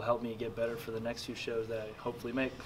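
A man talks in a monotone with flat intonation. Noticeable background noise sits behind him. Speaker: interviewee. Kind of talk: interview answer. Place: meeting room.

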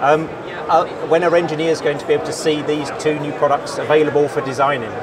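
Speaking at a fast pace, a man holds a fairly high pitch with little pitch movement over clear background noise.

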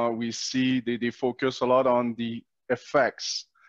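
A man's slow-ish, monotone, flat delivery in a Quebec accent, dry with no echo and a quiet background. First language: French. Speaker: natural law activist and video host. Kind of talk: interview conversation. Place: home room. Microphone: headset.

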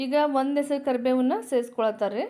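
In a North Karnataka accent, a woman speaks at a high pitch with a dark, mellow tone. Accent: North Karnataka Kannada dialect. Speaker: cooking channel host. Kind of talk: cooking tutorial narration. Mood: warm, homely. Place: kitchen.

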